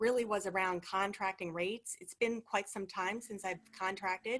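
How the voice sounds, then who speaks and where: A woman speaks at a medium pitch in a bright, sharp tone against a quiet background. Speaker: HR professional seeking work. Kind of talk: casual chat. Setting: video call. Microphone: low volume, far from microphone.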